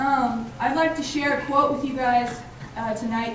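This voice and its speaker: Speech at a moderate pace, with audible room echo and noticeable background noise. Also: woman. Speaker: student emcee at campus event. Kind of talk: event speech. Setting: stage with audience.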